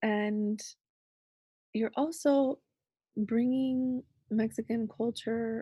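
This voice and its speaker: A woman speaks at a very slow pace in a dark, mellow, somewhat breathy tone with ordinary pitch variation. The sound is dry and close with no echo, over a quiet background. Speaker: podcast host. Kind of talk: casual interview. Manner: animated, laughs often.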